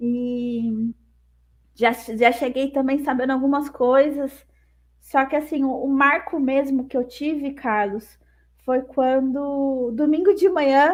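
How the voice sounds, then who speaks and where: Her pitch is high and her intonation fairly even. This woman talks at a very slow pace. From Brazil, Campinas. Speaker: sign language interpreter. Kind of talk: interview, casual chat.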